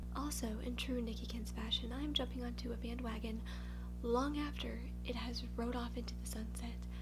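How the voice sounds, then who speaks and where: Over music in the background, a soft-spoken voice moves at a moderate pace in a monotone, flat intonation. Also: woman, very deep, low pitch for a woman. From Louisiana, USA. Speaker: beauty YouTuber. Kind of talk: ASMR get-ready-with-me makeup unboxing. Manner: quiet, mellow, low-key, softly spoken; self-deprecating, humorous.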